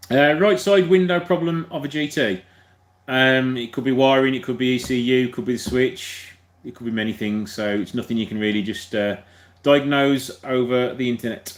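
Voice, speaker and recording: A man with a Birmingham accent speaks at a medium pitch in a very clean recording with a silent background. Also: ordinary pitch variation. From Birmingham, England. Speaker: car mechanic YouTuber. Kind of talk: live stream Q&A chat. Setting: live video stream. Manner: fast.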